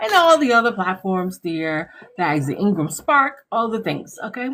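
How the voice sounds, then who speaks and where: A woman at a moderate pace with very wide pitch swings. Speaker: online tutorial creator. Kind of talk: live stream tutorial. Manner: casual and chatty. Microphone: phone near.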